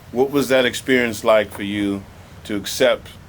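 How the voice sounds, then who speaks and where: At a moderate pace, a man with a normal speaking voice talks with fairly even intonation. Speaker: museum programs manager. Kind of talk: interviewer questions.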